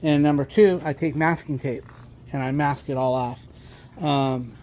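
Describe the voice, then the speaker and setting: A man with an ordinary speaking voice talks at a moderate pace, fairly high in pitch and with fairly even intonation. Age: 60s. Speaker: car owner and home repair video maker. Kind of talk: casual tutorial. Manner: casual, with fillers and swearing.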